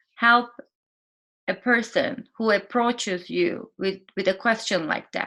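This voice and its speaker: With a non-native accent, a woman speaks at a very slow pace in a fairly high, bright, sharp tone with ordinary pitch variation. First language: not English. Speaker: vlogger. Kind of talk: casual vlog talk to camera. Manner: halting, with fillers.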